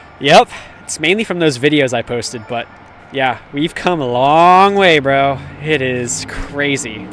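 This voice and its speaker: There is noticeable background noise as a man speaks in a fairly high voice. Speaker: livestreamer. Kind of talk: casual chat. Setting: outdoors. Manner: loud; animated.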